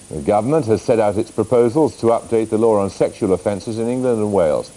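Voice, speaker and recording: Over noticeable background noise, the speech runs at a very fast pace with lively intonation. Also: man. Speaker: news presenter and interviewer. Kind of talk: TV news interviewer and presenter.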